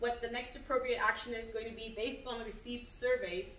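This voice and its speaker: A woman's high voice carries through audible room echo and noticeable background noise. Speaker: business coach. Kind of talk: tutorial. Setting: video recorded at a venue. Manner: casual with many fillers.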